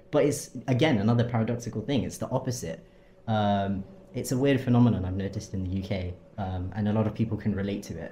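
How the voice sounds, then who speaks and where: A very fast, somewhat breathy delivery with a dark, mellow tone and ordinary pitch variation. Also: man, fairly low pitch for a man. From London, England. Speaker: university student. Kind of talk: interview. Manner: hesitant, many ums.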